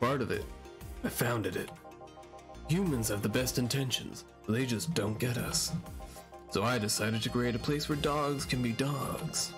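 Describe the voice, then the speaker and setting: Clear music sounds in the background as a man speaks at a moderate pace. He uses a put-on character voice at a medium pitch. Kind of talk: comic overacting. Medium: game stream. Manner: commanding, blustering, mock-military.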